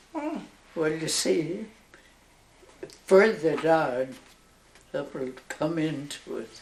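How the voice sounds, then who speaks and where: With a very deep, low pitch, a woman speaks at a very slow pace and her intonation is lively. Long, frequent pauses break her speech, and there is noticeable background noise. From Northern Ireland. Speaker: nun. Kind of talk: interview answer.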